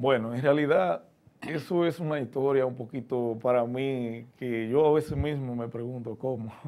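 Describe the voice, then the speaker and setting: Speaking at a fairly slow pace, a man uses fairly even intonation and a dark, mellow tone. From Dominican Republic, San José de las Matas; Dominican Republic. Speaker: greenhouse farmer; interviewee. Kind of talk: interview. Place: studio. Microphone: lapel.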